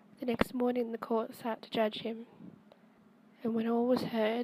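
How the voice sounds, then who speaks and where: A soft-spoken woman talks with monotone, flat intonation. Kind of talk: softly spoken storytime reading. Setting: home recording, amateur microphone.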